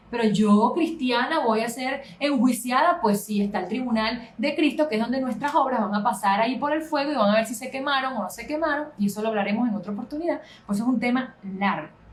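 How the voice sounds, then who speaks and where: A woman talks fairly quickly in a high pitch. Noticeable background noise can be heard. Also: ordinary pitch variation. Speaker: pastor. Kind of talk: Bible study lecture. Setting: live stream on social media. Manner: fast.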